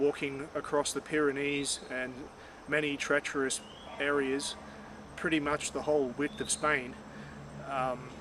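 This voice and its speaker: Over noticeable background noise, a man with an Australian accent talks at a fairly slow pace in a fairly high pitch. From Australia, Far North Queensland (Cairns). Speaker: vlogger. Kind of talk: personal reflection monologue. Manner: halting, many fillers and repeats.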